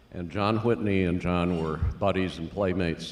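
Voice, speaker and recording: The speaker has an American accent and ordinary pitch variation, and the room echo is audible. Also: man. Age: 70s. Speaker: family member giving remarks. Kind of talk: memorial remarks, anecdote. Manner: halting.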